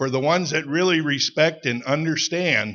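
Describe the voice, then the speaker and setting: A man talks fairly slowly in a fairly high pitch. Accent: Wisconsin. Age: 60s. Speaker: ATV club member. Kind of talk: audience comment at a public meeting.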